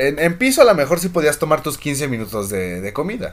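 Animated and fairly quick, the voice shows vocal fry and very wide pitch swings. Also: man. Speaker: podcast host. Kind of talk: casual chat.

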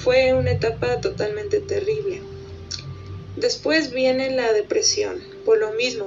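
Here a woman talks at a very slow pace. Noticeable background noise runs under her voice. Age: 20s. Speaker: plus-size model. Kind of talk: testimony.

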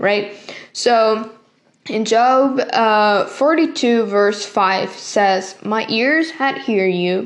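In a Spanish accent, a woman speaks at a fairly high pitch with ordinary pitch variation, and audible room echo surrounds her. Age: 20s. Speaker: podcast host, youth ministry worker. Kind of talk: devotional talk. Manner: halting, many fillers.

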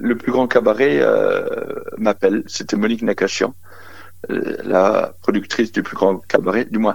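A man speaks over noticeable background noise. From Lorraine, eastern France (Briey). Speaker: magician. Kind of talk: phone interview. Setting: phone call.

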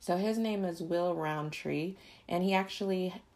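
A woman with a fairly low voice talks at a moderate pace with ordinary pitch variation. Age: 20s. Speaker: podcast host. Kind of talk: casual monologue. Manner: animated.

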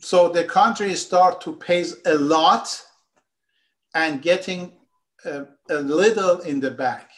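A man with a high pitch speaks at a very slow pace, with long, frequent pauses and ordinary pitch variation. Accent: Persian. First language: Persian. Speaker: economist and political activist. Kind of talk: political interview discussion. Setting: remote video call.

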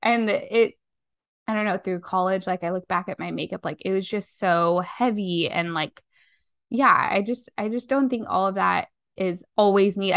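Against a quiet background, a woman with an American accent speaks at a moderate pace in a medium pitch with ordinary pitch variation. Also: dry, close sound with no echo. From Las Vegas, Nevada. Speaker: podcast co-host, copywriter. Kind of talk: casual chat.

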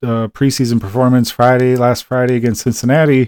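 A man of medium pitch with a dark, mellow tone and a Wisconsin accent, in a dry, close sound with no echo. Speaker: sports podcast host. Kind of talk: casual solo sports talk. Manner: halting, many fillers.

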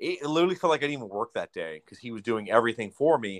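A man talks very fast with lively intonation in an American accent. The sound is dry and close, with no echo. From Southern California. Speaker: podcast co-host, forklift driver. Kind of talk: casual chat while drinking beer.

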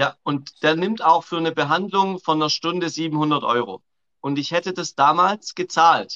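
Speaking with a Swabian accent, a man uses a high pitch and a bright, sharp tone with ordinary pitch variation, in a dry, close sound with no echo. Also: moderate pace. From Swabia, southern Germany. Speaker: coach. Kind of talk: casual chat. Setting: live video call.

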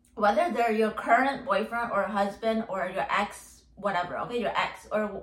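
A fairly high-pitched woman's voice over noticeable background noise. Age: 20s. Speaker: podcast host. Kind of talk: solo monologue podcast. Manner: rambling filler-heavy speech; animated.

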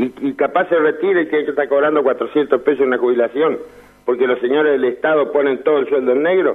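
In an unremarkable speaking voice, the speaker goes at a fairly quick pace with fairly even intonation and very even loudness. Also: man, fairly high pitch for a man. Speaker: caller. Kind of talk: phone call-in. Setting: phone call.

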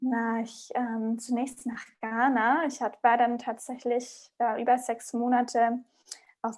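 On a very clean recording with a silent background, the speaking moves at a fairly slow pace. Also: woman. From small conservative town in Germany. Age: 30s. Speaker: podcast guest. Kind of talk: casual interview. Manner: hesitant with many fillers.

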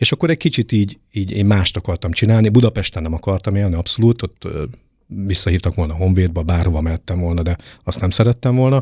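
Very fast and somewhat breathy, a man with a fairly low pitch and ordinary pitch variation is heard in a dry, close recording with no echo, very clean and with a silent background. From eastern Hungary, Debrecen. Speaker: fencing coach. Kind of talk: interview.

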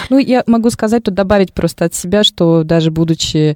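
This woman has a normal speaking voice, talking at a fairly quick pace with lively intonation in a dry, close sound with no echo. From Moscow, Russia. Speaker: radio host. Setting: radio studio.

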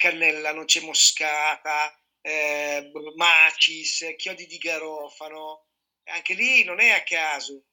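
Speaking very slowly, a man with a fairly high pitch keeps his intonation fairly even while his loudness swings widely. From Piedmont, Italy (Sardinian parents). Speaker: chef and culinary trainer. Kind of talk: casual chat.

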